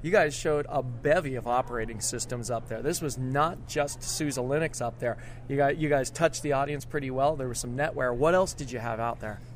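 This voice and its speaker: The speaker has an unremarkable speaking voice with ordinary pitch variation. The pace is fairly quick, with hardly any pauses. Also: man, medium pitch for a man. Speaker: podcast host. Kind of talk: casual interview chat. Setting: backstage at conference.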